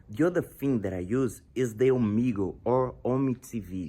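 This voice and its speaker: A man with a Portuguese accent, medium-pitched, with lively intonation and a fairly slow pace. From Brazil. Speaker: language learner vlogger. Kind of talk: tutorial. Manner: halting.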